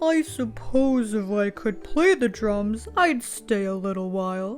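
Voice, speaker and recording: Over clear background music, a woman does a put-on character voice at medium pitch. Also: fairly slow pace. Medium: read story. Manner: gentle and good-humored.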